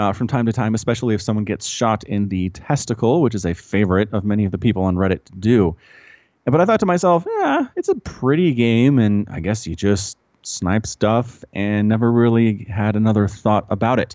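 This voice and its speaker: Speaking at a fairly quick pace, a man with an American accent uses an ordinary speaking voice, fairly low in pitch with ordinary pitch variation. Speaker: podcast host. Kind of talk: casual chat. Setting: remote call.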